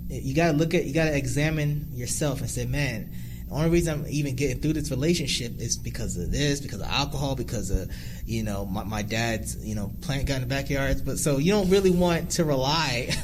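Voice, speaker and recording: There is audible room echo as a man talks. He has an American accent and a fairly quick pace. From New Jersey. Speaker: YouTuber. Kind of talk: casual chat. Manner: loud.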